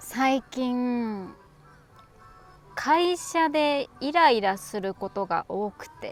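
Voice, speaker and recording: Lively intonation at a very slow pace, big swings in loudness, and music in the background. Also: woman, high pitch for a woman. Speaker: actor. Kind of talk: scripted dialogue for language learners. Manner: slow, clear.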